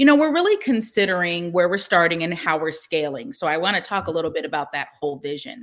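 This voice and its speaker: Fast and nearly pauseless, a woman with an American accent talks at a very fast pace with very wide pitch swings from a fairly low base. The recording is very clean, with a silent background. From US Pacific Northwest, Seattle. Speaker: tech startup founder. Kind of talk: interview.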